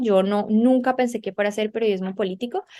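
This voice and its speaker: With a normal speaking voice, a woman talks at a moderate pace and medium pitch, keeping her intonation fairly even. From Colombia. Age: young. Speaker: journalist and TV presenter. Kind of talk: interview.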